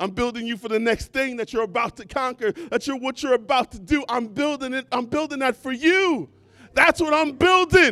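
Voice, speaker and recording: A man's extremely high, raised and projected voice, animated and bright with a sharp tone, at a moderate pace with ordinary pitch variation, in a dry, close sound with no echo. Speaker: preacher. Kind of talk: sermon. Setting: church with congregation, also streamed online. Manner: animated, exhorting, call-and-response with the congregation; repetitive, building emphasis through repeated phrases.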